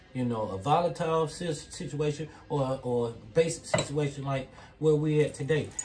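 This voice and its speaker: Noticeable background noise is present throughout. The talking keeps a moderate pace. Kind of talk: heated argument, talking over others. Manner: emphatic, insistent, cutting in. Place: kitchen. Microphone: phone near.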